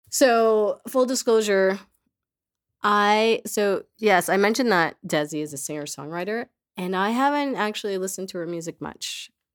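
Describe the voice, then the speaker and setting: In an American accent, a woman with an unremarkable speaking voice, medium pitch and lively intonation talks at a moderate pace, recorded very cleanly against a silent background. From Queens, New York City. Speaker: podcast host. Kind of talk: casual chat; scripted narration.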